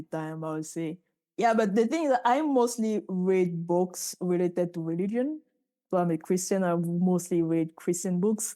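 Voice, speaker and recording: A woman with a Cameroonian accent speaks at medium pitch with a dark, mellow tone. Her pace is moderate and her pitch varies in an ordinary way. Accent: Cameroonian francophone English. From Cameroon, Douala. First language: French. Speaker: physicist and startup founder. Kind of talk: podcast interview.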